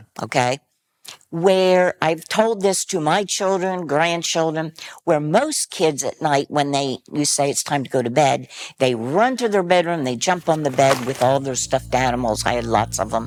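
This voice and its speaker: Lively in intonation, the speaker uses an American accent and keeps a moderate pace. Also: woman, very deep, low pitch for a woman. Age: 70s. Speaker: interviewee. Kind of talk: personal testimony.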